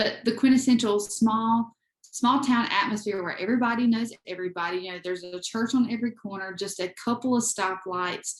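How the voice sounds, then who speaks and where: Speaking with a Southern US accent, a woman talks at a fairly quick pace with hardly any pauses, her voice somewhat breathy, her intonation fairly even and her loudness swinging a lot. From US South, eastern North Carolina. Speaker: photographer and creator, adoptee. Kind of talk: interview.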